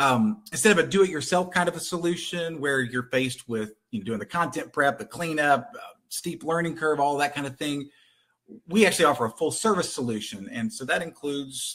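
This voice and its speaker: A man with a Texan accent talks at a fairly quick pace, his fairly high pitch rising and falling in a lively way. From Texas. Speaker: content conversion company representative. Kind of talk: webinar presentation.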